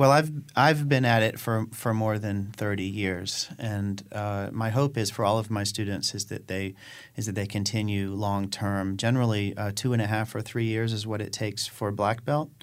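This very clean recording has a silent background. A man with a fairly low pitch talks at a moderate pace with fairly even intonation. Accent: American. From North Carolina. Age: 40s. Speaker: karate instructor. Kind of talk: radio interview. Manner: halting, many fillers.

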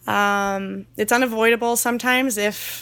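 On a very clean recording with a silent background, a woman talks in a fairly high pitch with fairly even intonation, an unremarkable speaking voice. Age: 20s. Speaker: naturist park seasonal worker. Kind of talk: interview.

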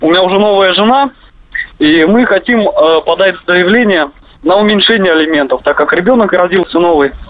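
A man's high-pitched voice at a moderate pace, with ordinary pitch variation, very even loudness and long, frequent pauses. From Russia, Kemerovo. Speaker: radio caller. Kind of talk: phone-in question.

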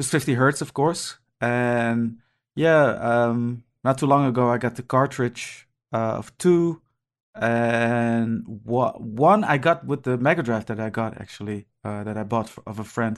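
A man with an unremarkable speaking voice talks at a fairly slow pace in a medium pitch, his loudness swinging widely while his pitch varies in an ordinary way. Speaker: video game podcast panelist. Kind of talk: casual chat.

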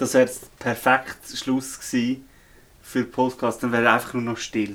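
A man with a Swiss accent speaks in a monotone, flat voice, with long, frequent pauses. His loudness swings widely. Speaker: podcast co-host, storyteller. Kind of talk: casual chat. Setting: indoors in a remote cabin.

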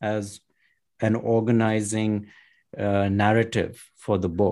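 At a fairly slow pace, a man talks in a normal speaking voice with medium pitch, captured in a very clean recording with a silent background. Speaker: author and environmental policy consultant. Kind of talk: interview.

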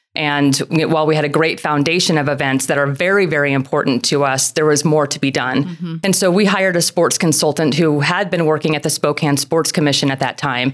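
Someone with an American accent talks at a fairly quick pace with hardly any pauses. Noticeable background noise is present. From Texas and Oklahoma, summers in national parks. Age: 40s. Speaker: tourism bureau director. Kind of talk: casual interview.

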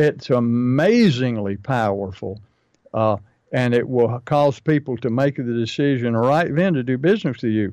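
At a moderate pace, a man uses a normal speaking voice at medium pitch with ordinary pitch variation. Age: 60s. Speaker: pest control marketing coach and podcast host. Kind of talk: casual business podcast chat.

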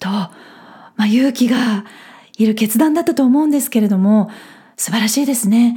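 At a fairly quick pace, a woman speaks in a somewhat breathy, dark, mellow voice of fairly high pitch with ordinary pitch variation. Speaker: podcast host. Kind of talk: solo podcast talk.

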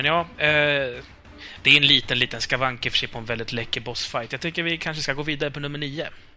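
Very fast in pace, a man with a fairly high pitch holds fairly even intonation. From Uppsala, Sweden. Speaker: podcast co-host. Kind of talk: casual chat.

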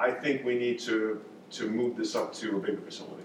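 With an American accent, a man speaks at a medium pitch with ordinary pitch variation, amid noticeable background noise and audible room echo. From New York. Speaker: vineyard owner and surgeon. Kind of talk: casual interview chat. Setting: on location at a vineyard.

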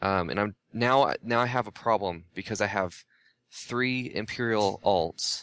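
A man with an ordinary speaking voice talks at a fairly slow pace and fairly low pitch, with ordinary pitch variation. His loudness is very even, and the sound is dry and close with no echo. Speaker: gaming writer. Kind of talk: casual chat.

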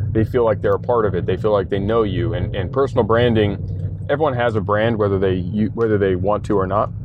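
Speaking at a fairly quick pace with hardly any pauses, a man keeps a fairly low pitch and fairly even intonation. Audible room echo and noticeable background noise are present. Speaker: entrepreneur. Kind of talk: casual interview. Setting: in a shop.

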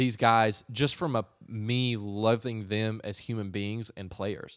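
This is a plain, everyday voice from a man with an American accent at a medium pitch. He goes at a fairly slow pace on a very clean recording with a silent background. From North Carolina. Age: 20s. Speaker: advertising and marketing professional. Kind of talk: casual chat. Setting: in the guest's apartment.

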